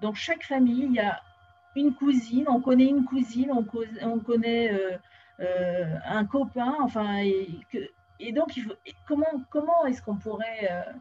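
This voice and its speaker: Over music in the background, a woman speaks at a fairly high pitch and a fairly slow pace, with lively intonation and big swings in loudness. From French Polynesia (Tahiti). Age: 50s. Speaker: interview show host. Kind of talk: interview. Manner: halting, many fillers.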